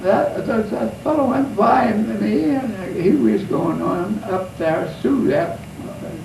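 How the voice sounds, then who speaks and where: Speech comes at a very slow pace against noticeable background noise. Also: man. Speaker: war veteran. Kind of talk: interview answer.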